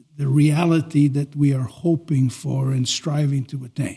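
The voice has a dark, mellow tone and is somewhat breathy. It moves at a very slow pace. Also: man. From Quebec. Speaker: archbishop. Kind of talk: podcast interview. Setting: studio.

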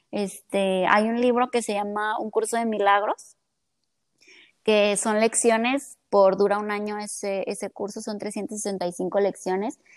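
In a very clean recording with a silent background, a woman with a Mexican accent speaks very slowly with monotone, flat intonation. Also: medium pitch for a woman. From Mexico (Colima). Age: 20s. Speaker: psychologist and entrepreneur. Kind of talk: casual chat.

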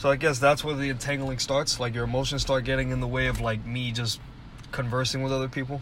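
Very fast and in a monotone, flat intonation, a man speaks at medium pitch. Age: 20s. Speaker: podcast co-host. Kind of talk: casual chat.

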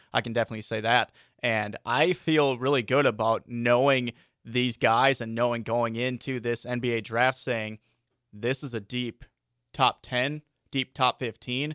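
A man speaks in an ordinary speaking voice at a moderate pace and medium pitch, with fairly even intonation. The sound is dry and close with no echo, and the recording is very clean with a silent background. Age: 20s. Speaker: sports radio host. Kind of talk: casual chat.

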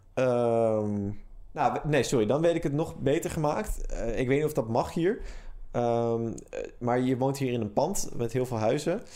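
A man speaks at a medium pitch in a dark, mellow tone. His pace is fairly slow, with ordinary pitch variation. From Netherlands, Amsterdam. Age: 20s. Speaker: podcast co-host. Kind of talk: casual chat.

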